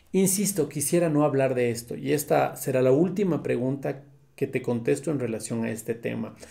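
A man's medium-pitched voice, dark and mellow in tone, with vocal fry, at a moderate pace. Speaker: comedian and writer. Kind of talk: self-interview, casual talk.

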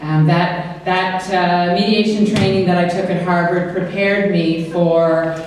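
Strong room echo surrounds a woman speaking fairly slowly. Her pitch is fairly low, and her intonation is monotone and flat. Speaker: government minister, keynote speaker. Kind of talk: after-dinner speech. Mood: warm, joking. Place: hall.

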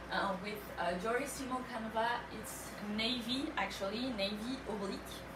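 A woman speaks with a French accent. Noticeable background noise runs behind her. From France. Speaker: live sale host. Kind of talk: live shopping presentation. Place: shop. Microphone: camera far.

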